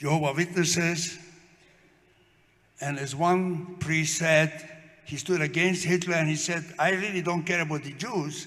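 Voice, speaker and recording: A man with a high pitch, monotone, flat intonation, and a fairly slow pace, broken by long, frequent pauses, in audible room echo. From Slovakia. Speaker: Holocaust survivor. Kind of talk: testimony. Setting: memorial event with audience.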